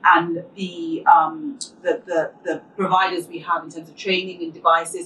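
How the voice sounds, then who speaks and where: A woman with a non-native accent, a fairly low voice and fairly even intonation at a moderate pace, over noticeable background noise. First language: not English. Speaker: skincare expert and advanced therapist. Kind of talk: panel discussion.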